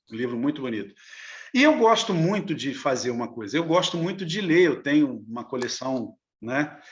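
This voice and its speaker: A man's moderately paced speech in quiet surroundings. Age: 60s. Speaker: novelist. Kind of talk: interview. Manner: halting.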